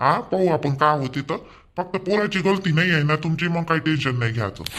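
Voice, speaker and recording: A man puts on a cartoonish character voice. It sits fairly high in pitch and moves at a moderate pace. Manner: authoritative, brisk.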